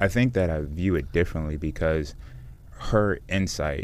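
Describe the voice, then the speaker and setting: A man with an American accent. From Washington DC metropolitan area. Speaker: truck dealership president, ex-football player. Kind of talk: radio interview. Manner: hesitant, many fillers.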